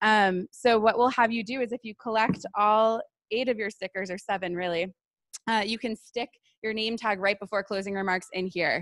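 Fairly high in pitch, a woman uses an ordinary speaking voice with fairly even intonation at a moderate pace. The sound is dry and close with no echo. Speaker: event co-organizer. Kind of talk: opening announcements. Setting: stage with audience.

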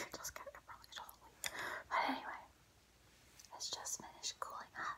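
Whispering, a woman speaks at a very fast pace. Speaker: ASMR creator. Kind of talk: ASMR eating video intro. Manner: soft-spoken. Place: home room. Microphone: phone near.

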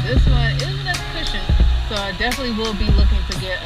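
Loud music plays in the background behind a woman's voice. The sound is dry, with no echo. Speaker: motorbike rider vlogger. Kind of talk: casual vlog chat. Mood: relaxed, pleased with new bike. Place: motorbike. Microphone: helmet.

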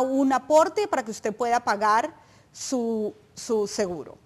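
Intonation is lively while the pace stays very slow. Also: woman. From Colombia. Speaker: nonprofit advocacy director; guest. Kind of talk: informational interview. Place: studio. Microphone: lapel.

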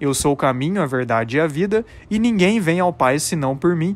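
A man with a Brazilian accent speaks at a moderate pace. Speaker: religious YouTuber. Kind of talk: religious reflection monologue.

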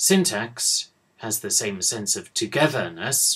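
A man with a British accent and very wide pitch swings, against a quiet background. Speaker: university English professor. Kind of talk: lecture. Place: office. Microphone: webcam.

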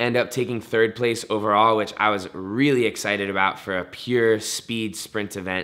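A man speaks with hardly any pauses, at a moderate pace, in a fairly low pitch. His intonation is fairly even, a plain, everyday voice, over a quiet background. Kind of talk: interview answer. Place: studio.

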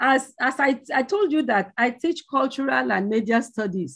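Against a quiet background, a woman speaks at a fairly slow pace in a high pitch with very wide pitch swings. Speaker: conference presenter, lecturer. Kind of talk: conference paper presentation. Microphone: video call.

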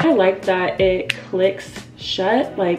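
Clearly audible background music behind a female speaker. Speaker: beauty vlogger. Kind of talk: casual vlog chat. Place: home room.

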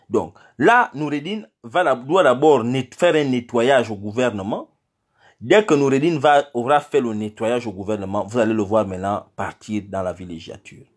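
Against a quiet background, a man of medium pitch speaks at a moderate pace with lively intonation. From Gabon. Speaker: political activist; political commentator addressing diaspora. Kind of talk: political address to diaspora; political commentary monologue. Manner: hesitant, many fillers. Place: home room. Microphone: phone near.

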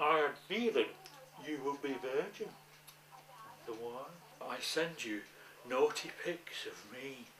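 A man talks at a very slow pace against light background noise, with audible echo in the room. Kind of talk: acted film dialogue. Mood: giddy, excited, laughing. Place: home room.

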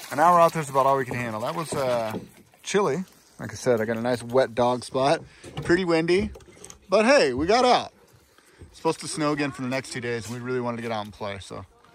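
A man talks at a very fast pace with lively intonation and big swings in loudness. The sound is dry with no echo, over light background noise. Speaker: paddling vlogger. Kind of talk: casual vlog chat. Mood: cheerful, upbeat. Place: waterside. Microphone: phone near.

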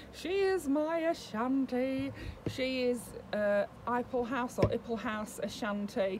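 A woman speaks very slowly, her pitch swinging very widely. Light noise sits in the background. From UK. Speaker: doll collector YouTuber. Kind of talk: casual vlog talk to camera. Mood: warm, chatty. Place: home room. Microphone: webcam.

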